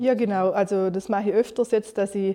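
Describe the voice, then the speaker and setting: In a Vorarlberg accent, a woman talks at a fairly quick pace with a dark, mellow tone and monotone, flat intonation. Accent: Montafon Alemannic dialect. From Austria, Vorarlberg, Montafon (Gargellen). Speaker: communication designer and young entrepreneur. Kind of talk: interview.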